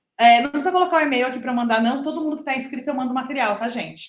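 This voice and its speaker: A woman speaks with audible room echo. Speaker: lecturer. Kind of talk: lecture. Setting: live stream with in-person audience. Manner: fast.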